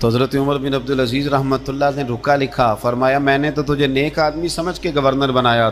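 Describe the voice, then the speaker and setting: A man speaks with music playing in the background. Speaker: Islamic preacher giving a sermon. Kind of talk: religious sermon (bayan) to an audience.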